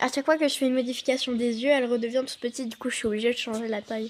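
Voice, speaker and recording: A woman speaks in a high pitch. Her intonation stays fairly even. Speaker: youtuber. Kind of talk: tutorial. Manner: halting.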